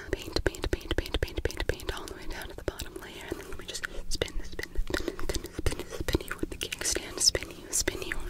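A soft-spoken woman's whispering. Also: moderate pace. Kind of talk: soft-spoken roleplay, ASMR style. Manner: soft repetitive ASMR whisper. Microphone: phone near.

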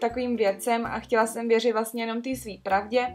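Light background noise behind a woman speaking. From Czech Republic, Trutnov. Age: 20s. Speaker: vlogger. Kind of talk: casual story time talk to camera. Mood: earnest, slightly skeptical. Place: home room.

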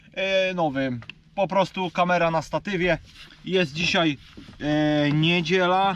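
Heard as a dry sound with no echo and light background noise, a man speaks in a high pitch with fairly even intonation. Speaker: angler vlogger. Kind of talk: casual vlog chat. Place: boat. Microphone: camera far.

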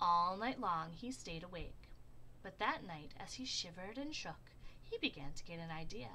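Plain reading aloud, nothing more

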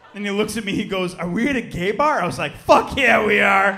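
A man's raised, projected voice with very wide pitch swings and light background noise. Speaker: stand-up comedian. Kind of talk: stand-up comedy performance. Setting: live comedy club with audience. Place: stage. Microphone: handheld.

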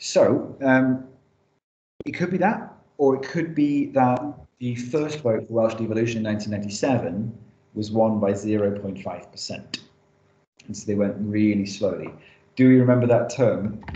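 Pausing long and often, a man talks at a fairly slow pace and medium pitch, his dark, mellow tone showing ordinary pitch variation amid audible room echo. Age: 30s. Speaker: teacher. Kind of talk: lecture. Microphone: webcam.

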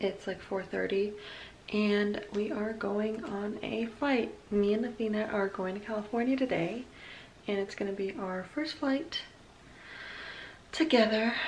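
Light background noise sits behind a woman who speaks at a fairly slow pace with long, frequent pauses and ordinary pitch variation. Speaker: mom vlogger. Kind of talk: casual vlog chat. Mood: hopeful, slightly nervous. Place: home room. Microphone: phone near.

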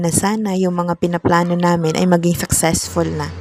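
A woman speaks at a fairly quick pace with a fairly low pitch. Noticeable background noise can be heard. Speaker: vlogger. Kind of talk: walking vlog narration. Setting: outdoors.

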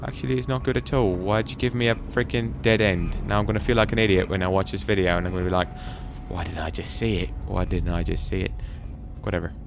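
Very deep and low, a man's voice races at a very fast pace. His intonation is lively, with faint music in the background. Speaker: gaming YouTuber. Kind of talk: let's play commentary. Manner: animated.

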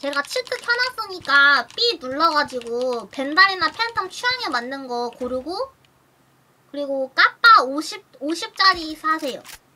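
Light background noise sits behind a woman speaking at an extremely high pitch in a raised, projected voice with a bright, sharp tone and a slight Daegu accent. Her pitch swings very widely and her pace is very slow. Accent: slight Daegu dialect slipping in. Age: 20s. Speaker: streamer and game teacher; streamer, game teacher. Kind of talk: casual game coaching chat. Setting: voice call over Discord. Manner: animated.

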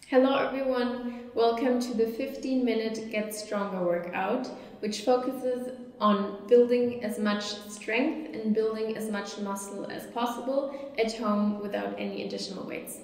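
In a room with audible echo, a woman speaks at a fairly slow pace with fairly even intonation. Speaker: fitness instructor. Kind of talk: tutorial. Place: empty room.

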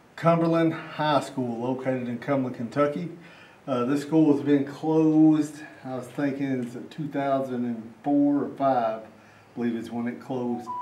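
The speaker talks at a moderate pace. Room echo is audible throughout. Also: man, fairly even intonation. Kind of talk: casual vlog intro and walkthrough commentary. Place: classroom. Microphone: camera far.

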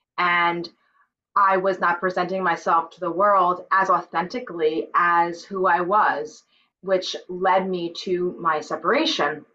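The tone is bright and sharp, with big swings in loudness. Delivery is fairly slow, with fairly even intonation. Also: woman, fairly low pitch for a woman. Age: 40s. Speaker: author and sound healer; podcast guest. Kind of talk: interview. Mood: earnest, reflective. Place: home room. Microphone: video call.

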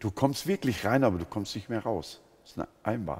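Here a man speaks at a fairly low pitch, somewhat breathy. His intonation is lively. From Germany, Sinto background. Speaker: pastor and missionary among Roma; pastor. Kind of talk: interview testimony. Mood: earnest, engaged storytelling. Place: studio. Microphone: headset.

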